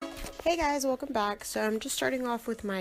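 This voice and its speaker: A woman talks with ordinary pitch variation. Music plays in the background. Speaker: makeup tutorial creator. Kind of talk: makeup tutorial voiceover. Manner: casual, chatty.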